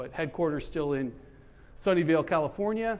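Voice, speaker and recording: Loud and high-pitched, a man talks with lively intonation. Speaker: general manager presenting at trade event. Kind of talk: presentation to live audience. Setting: event room with audience.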